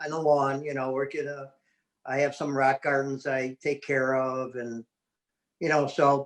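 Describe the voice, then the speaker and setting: At a fairly slow pace, a man talks in an unremarkable speaking voice pitched fairly high. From US Midwest, Chicago west side. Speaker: interview guest. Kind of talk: casual chat.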